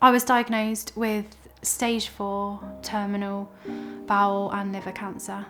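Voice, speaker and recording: A woman's very slow speech with music in the background. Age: 30s. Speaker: terminal cancer patient and charity fundraiser. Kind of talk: personal testimony to camera. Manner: hesitant, frequent fillers.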